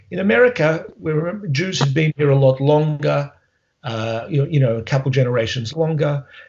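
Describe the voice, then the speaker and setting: The speaker has an Australian accent and talks at a fairly quick pace. The voice is somewhat breathy. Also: man. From Australia, Melbourne. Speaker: history professor. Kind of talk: interview. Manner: halting.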